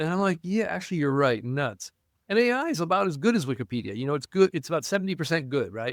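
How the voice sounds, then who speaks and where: In a very clean recording with a silent background and a dry, close sound with no echo, a man with fairly high pitch speaks in an animated, enthusiastic tone at a very fast pace with very wide pitch swings. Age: 60s. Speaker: university professor and historian. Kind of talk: podcast interview conversation.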